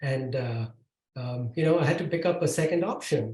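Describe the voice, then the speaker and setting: A man with a fairly high pitch speaks in a dark, mellow tone that is somewhat breathy. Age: 60s. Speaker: tech executive and author. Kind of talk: podcast interview. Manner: halting, many fillers.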